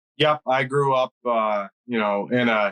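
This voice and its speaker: A man is speaking. He talks with a Pennsylvania accent. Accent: Pennsylvania American. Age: 30s. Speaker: hunting guide. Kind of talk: interview.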